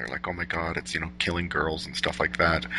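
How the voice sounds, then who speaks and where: A man speaks in a bright, sharp tone. Vocal fry runs through his voice. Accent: American. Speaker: podcast host. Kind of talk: casual interview chat.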